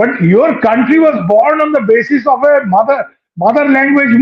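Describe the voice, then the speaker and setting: With a Bengali accent, a man talks at a moderate pace in an extremely high pitch, his pitch varying in an ordinary way. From West Bengal, India. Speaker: panelist. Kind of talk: panel discussion. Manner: animated.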